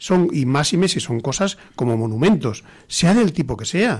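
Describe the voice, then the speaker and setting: A man's high voice with very wide pitch swings, at a fairly slow pace, in a very clean recording with a silent background. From rural Spain. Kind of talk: talk radio panel discussion. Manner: halting.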